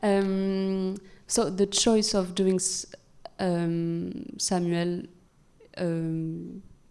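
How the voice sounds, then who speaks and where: In a French accent, a woman with a medium pitch speaks in a dark, mellow tone with monotone, flat intonation, and audible room echo fills the recording. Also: long, frequent pauses. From France. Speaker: animator and series creator. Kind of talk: live onstage Q&A. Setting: festival stage with audience. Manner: halting, searching for words.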